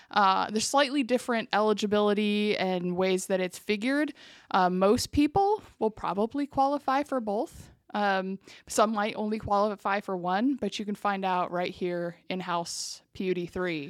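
In a very clean recording with a silent background and a dry, close sound with no echo, a woman with an American accent speaks at a moderate pace in an unremarkable speaking voice of medium pitch with ordinary pitch variation. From eastern Washington, US. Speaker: utility public information officer. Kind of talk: interview. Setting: office.

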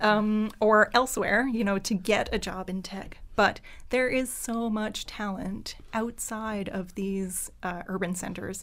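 On a very clean recording with a silent background, a woman speaks at a fairly high pitch and a very slow pace, with fairly even intonation and hardly any pauses. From Acadian Nova Scotia (Pubnico, Yarmouth County). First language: French. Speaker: business owner. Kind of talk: casual chat. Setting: studio.

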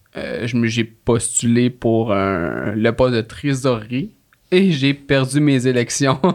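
A man talks in a Quebec accent. His pace is very slow, with ordinary pitch variation. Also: medium pitch for a man. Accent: Québécois French. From Quebec, Laurentides. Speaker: court clerk, union youth committee member. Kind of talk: casual chat. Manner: halting.

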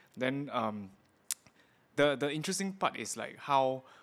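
Over music in the background, a man with a Singaporean accent speaks at a moderate pace with ordinary pitch variation. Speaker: tattoo artist and podcast host. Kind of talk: interview.

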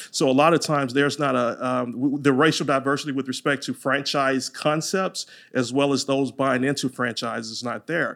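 With a Louisiana accent, a man speaks at a fairly high pitch and a fairly quick pace, hardly pausing, his intonation fairly even, in a very clean recording with a silent background. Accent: Louisiana Southern twang. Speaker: franchise attorney. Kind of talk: casual interview chat.

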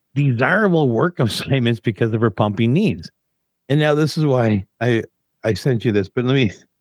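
Against a quiet background, the text is read aloud in a natural voice whose pitch varies in an ordinary way.

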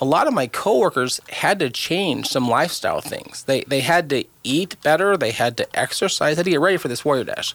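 A man with a normal speaking voice talks at a moderate pace, his fairly high pitch carried by lively intonation. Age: 50s. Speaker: cancer charity co-founder. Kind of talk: casual chat.

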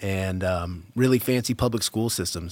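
An unremarkable speaking voice from a man with an American accent comes through at a fairly low pitch with fairly even intonation, on a very clean recording with a silent background and a dry, close sound with no echo. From Massachusetts, suburbs west of Boston. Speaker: cannabis grower and breeder. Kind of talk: interview. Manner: casual, with many fillers.

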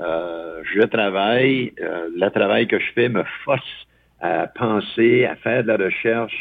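A man with a fairly low pitch speaks at a very slow pace with ordinary pitch variation. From Eastern Ontario (Franco-Ontarian). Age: 70s. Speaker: psychologist. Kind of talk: casual chat.

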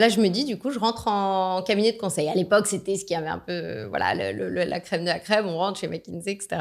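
In a very clean recording with a silent background, a woman talks at a very fast pace with hardly any pauses, using a medium pitch, ordinary pitch variation and vocal fry. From France. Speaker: business executive. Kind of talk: interview. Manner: animated.

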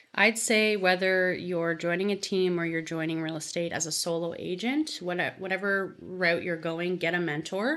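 In an ordinary speaking voice with a Canadian accent, a woman of fairly low pitch talks at a moderate pace with fairly even intonation and hardly any pauses. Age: 20s. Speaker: real estate agent. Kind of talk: interview.

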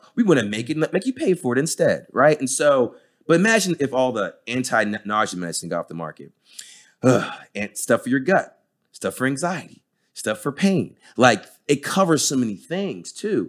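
Medium-pitched American-accented man with vocal fry and very wide pitch swings, at a moderate pace, in a very clean recording with a silent background. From New Jersey, US. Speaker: pain and sports physician. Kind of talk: podcast interview.

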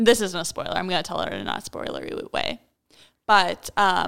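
A woman's bright, sharp voice at medium pitch carries vocal fry in a very clean recording with a silent background. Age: 20s. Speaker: podcast co-host. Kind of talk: casual chat. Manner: laughs often.

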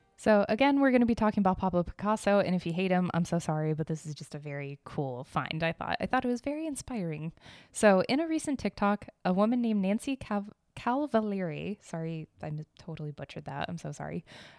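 At a very fast pace, a woman speaks at medium pitch with very wide pitch swings, in dry, close sound with no echo on a very clean recording with a silent background. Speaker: podcast host on art and history news. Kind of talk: casual solo commentary. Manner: animated; frequent laughter.

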